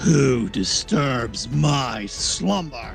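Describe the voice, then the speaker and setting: Over clear music in the background, a man puts on a character voice at a medium pitch. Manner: ominous, imposing.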